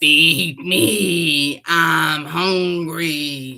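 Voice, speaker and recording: The raspy, put-on character voice sits at a middle pitch. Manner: creepy, demanding.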